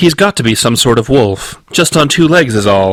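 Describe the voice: A put-on character voice, robotic in sound, delivered at a moderate pace. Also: man.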